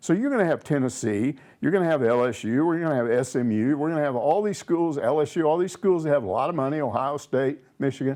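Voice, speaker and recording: Fairly high-pitched male voice with an American accent, lively intonation, and a very fast pace, over a quiet background. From outside Arkansas, US. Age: 70s. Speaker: sports commentator. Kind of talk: casual chat. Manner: animated.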